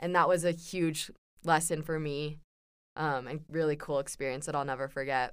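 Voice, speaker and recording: A woman with an American accent and a very deep, low pitch speaks at a moderate pace in a monotone, flat way. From Southern California. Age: 20s. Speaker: university student, returned missionary. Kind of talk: casual interview.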